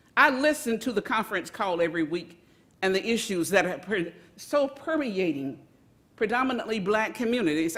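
At a moderate pace, a woman speaks with very wide pitch swings over noticeable background noise. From US South (Montgomery, Alabama). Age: 70s. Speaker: community activist. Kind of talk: public comment at a government meeting. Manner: impassioned.

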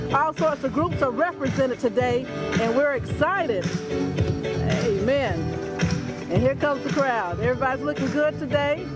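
The pace is moderate. Behind the speech, there is music in the background. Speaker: community show host filming. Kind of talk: live event commentary. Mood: cheerful, excited. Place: street.

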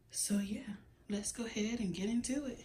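A woman talks at a very slow pace, and audible room echo hangs around her words. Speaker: home decor vlogger. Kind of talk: casual vlog chat. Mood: playful, laughing. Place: home room. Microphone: phone near.

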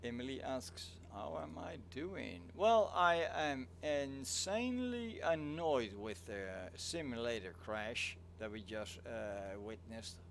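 A man's medium-pitched voice at a very slow pace, with very wide pitch swings and audible room echo. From Netherlands. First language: Dutch. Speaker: flight sim streamer. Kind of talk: casual live stream chat. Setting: live stream.

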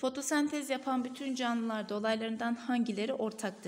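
Ordinary pitch variation at a moderate pace. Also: woman. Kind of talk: tutorial.

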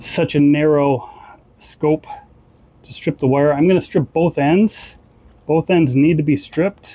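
Here a man speaks at a fairly slow pace. His intonation stays fairly even. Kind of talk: tutorial. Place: boat. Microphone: lapel.

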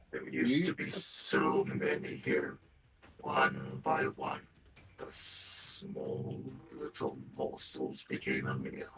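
A man speaks in a put-on character voice at a very slow pace. His pitch sits very deep and low. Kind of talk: horror villain acting. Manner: cold, menacing, cryptic.

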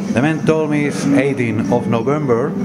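Loud music fills the background. A man talks over it. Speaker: travel video host. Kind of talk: casual vlog chat. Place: bar. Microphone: phone near.

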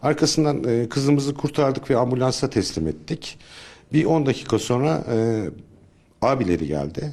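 The intonation is lively. The pace is moderate. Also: man. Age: 50s. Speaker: search and rescue volunteer leader. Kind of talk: interview testimony. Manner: hesitant, with filler sounds.

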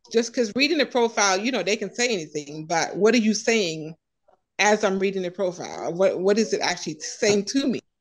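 Ordinary pitch variation marks the speech of a woman. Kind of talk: personal story in group discussion. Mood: reflective, slightly amused. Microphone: video call.

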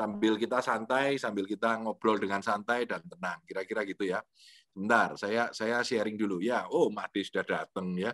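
A man speaks at a moderate pace with a fairly low pitch and fairly even intonation. The sound is dry with no echo against a quiet background. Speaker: lecturer, motivational speaker. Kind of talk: online lecture with Q&A. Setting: video call from home. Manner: relaxed, conversational. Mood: relaxed, jovial. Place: home room. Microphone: video call.

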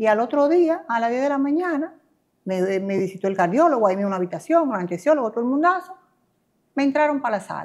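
At a very fast pace, a woman talks in a high pitch with very wide pitch swings against a quiet background. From Dominican Republic. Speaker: real estate agent, cancer survivor. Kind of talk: interview testimony. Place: home room. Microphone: lapel.

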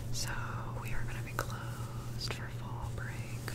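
Loud background noise surrounds a woman who is whispering. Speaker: medical facility worker. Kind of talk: ASMR whisper ramble. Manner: whispered. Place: home room. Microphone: studio mic.

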